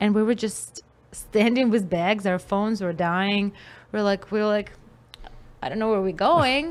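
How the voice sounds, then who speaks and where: Long, frequent pauses interrupt speech that otherwise keeps a moderate pace. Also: woman, medium pitch for a woman, ordinary pitch variation. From Russia. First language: Russian. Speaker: musician and comedian. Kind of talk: casual chat. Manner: animated.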